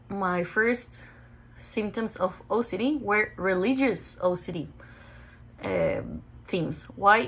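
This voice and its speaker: A woman with a Mexican accent speaks at medium pitch with ordinary pitch variation and vocal fry. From Mexico, Ensenada. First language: Spanish. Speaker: OCD sufferer sharing her story. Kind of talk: personal testimony. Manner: halting, with self-corrections.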